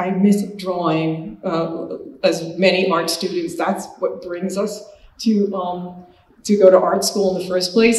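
A woman at a fairly slow pace, fairly even in intonation, with audible room echo. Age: 60s. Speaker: painter. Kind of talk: lecture. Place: hall.

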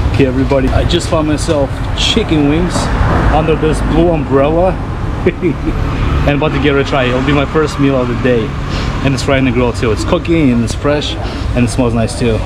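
Against loud background noise, a man speaks at a fairly quick pace. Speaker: travel food vlogger. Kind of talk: casual vlog chat. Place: street. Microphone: phone near.

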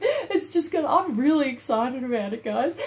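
A woman speaks with lively intonation. Her tone is slightly mellow.

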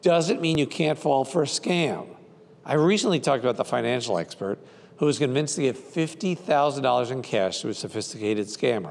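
A man speaks fairly quickly with lively intonation. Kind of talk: scripted consumer warning to camera. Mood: earnest, cautionary. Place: studio. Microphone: lapel.

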